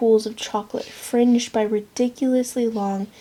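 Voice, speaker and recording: A soft-spoken woman talks at a fairly high pitch with a dark, mellow tone. Her pace is fairly slow and her intonation flat and monotone. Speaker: ASMR creator. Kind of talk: romance novel reading for sleep.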